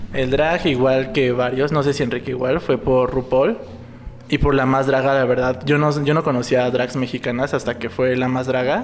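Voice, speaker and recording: A man talks in a flat monotone at a medium pitch with very even loudness. Noticeable background noise is present. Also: moderate pace. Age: 20s. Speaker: clinical psychologist and drag performer. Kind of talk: casual chat.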